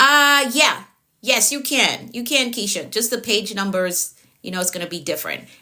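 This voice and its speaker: A woman with a Jamaican accent and a bright, sharp tone. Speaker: productivity coach. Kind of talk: live-stream coaching session. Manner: frequent filler words.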